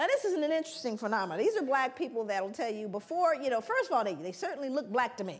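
A woman with an American accent at a high pitch, very fast pace and very wide pitch swings, with hardly any pauses. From South Central Los Angeles, US; Los Angeles, California. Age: 50s. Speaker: researcher and lecturer; lecturer. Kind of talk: lecture. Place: hall.

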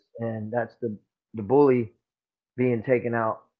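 A man speaks at a fairly slow pace. Behind him, the background stays quiet. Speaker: interview guest. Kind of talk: interview answer. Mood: serious, somber storytelling. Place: home room. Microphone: phone near.

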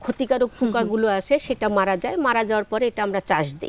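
A woman uses a normal speaking voice, fairly high in pitch with ordinary pitch variation, in a dry, close sound with no echo. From Bangladesh, Jessore district. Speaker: flower farmer and entrepreneur. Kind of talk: interview.

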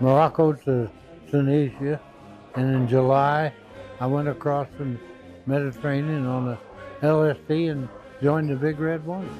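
A man at a moderate pace with fairly even intonation and long, frequent pauses, dry sound with no echo, clear music in the background. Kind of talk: interview answer. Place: home room. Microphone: lapel.

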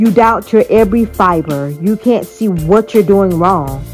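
A woman's medium-pitched voice in an American accent, fairly slow with ordinary pitch variation, music in the background. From Miami, Florida. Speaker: poet. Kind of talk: spoken word poetry.

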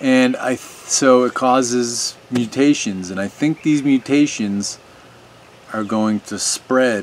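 A man at a very slow pace, ordinary pitch variation, and light background noise. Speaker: video commentator. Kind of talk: opinion monologue to camera. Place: garden.

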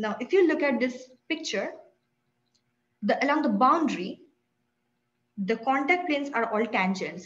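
A woman's somewhat breathy voice at a moderate pace, with very wide pitch swings. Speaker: presenter. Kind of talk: lecture. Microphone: webcam.

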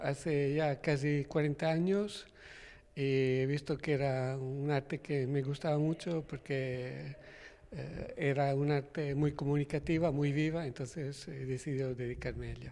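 His intonation is monotone and flat. The man keeps a fairly slow pace. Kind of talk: interview answer. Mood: calm, warm. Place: hall. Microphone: handheld.

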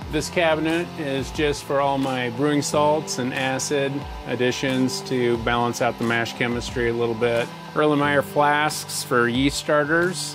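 A man speaks at a fairly slow pace with ordinary pitch variation as clear music plays in the background. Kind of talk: tour narration. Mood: calm, proud. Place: home room.

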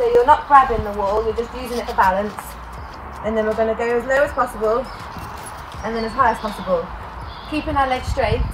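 There's noticeable background noise as a woman talks at a very fast pace with ordinary pitch variation. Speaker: athlete demonstrating exercises. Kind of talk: tutorial.

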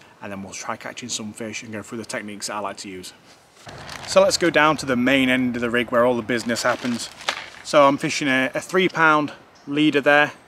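A man talks at a fairly quick pace and a medium pitch. His tone is bright and sharp, with ordinary pitch variation.

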